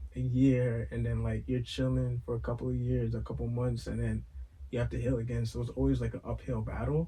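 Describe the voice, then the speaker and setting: A man talks with a New York accent. His pace is moderate. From Brooklyn, New York. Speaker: podcast co-host. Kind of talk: casual chat.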